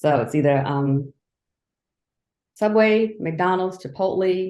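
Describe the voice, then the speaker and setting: A woman speaks here. Her tone is dark and mellow. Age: 60s. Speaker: client sharing weight loss story. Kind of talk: interview.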